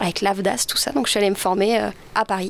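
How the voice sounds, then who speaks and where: A woman speaks at medium pitch. Hers is an unremarkable speaking voice. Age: young. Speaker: film director. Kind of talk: interview.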